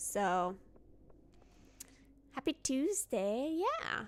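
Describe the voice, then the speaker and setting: A woman speaks in a relaxed tone, her pitch swinging very widely. The recording is very clean with a silent background. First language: French. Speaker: gaming streamer. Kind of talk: casual chat. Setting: live stream.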